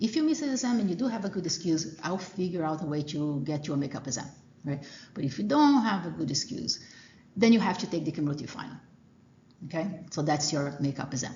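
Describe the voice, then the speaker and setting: Amid audible room echo, a woman with a fairly low pitch speaks at a very fast pace with lively intonation. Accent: Portuguese. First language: Portuguese. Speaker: college professor. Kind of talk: lecture. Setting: classroom. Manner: hesitant, many fillers.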